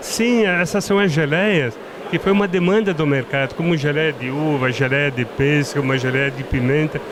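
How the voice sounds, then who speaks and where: With noticeable background noise behind him, a man talks at a moderate pace in a fairly high pitch with lively intonation. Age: 70s. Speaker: winery owner. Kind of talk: casual interview. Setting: wine trade fair.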